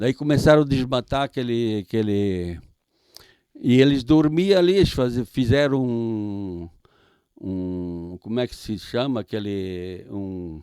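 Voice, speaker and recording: A man's medium-pitched voice with a dark, mellow tone, very slow pace, lively intonation and big swings in loudness, in a very clean recording with a silent background. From Santa Catarina, southern Brazil (Vítor Meireles). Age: 80s+. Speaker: retired supermarket owner. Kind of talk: interview storytelling. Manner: halting, repetitive.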